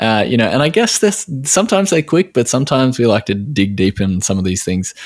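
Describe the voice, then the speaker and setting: Speaking with an Australian accent, a man at medium pitch uses lively intonation. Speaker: podcast host, nutritional therapist. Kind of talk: casual interview. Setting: remote call. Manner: halting, many fillers.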